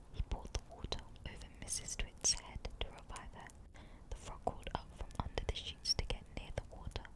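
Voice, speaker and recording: Whispering in a relaxed tone over noticeable background noise. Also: moderate pace. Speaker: ASMR reader. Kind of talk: calm narration of a children's book. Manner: soft-spoken, relaxed.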